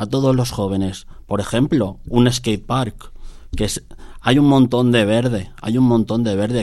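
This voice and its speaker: The voice keeps a fairly even intonation and moves at a very slow pace. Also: man. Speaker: taxi dispatcher. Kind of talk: radio interview.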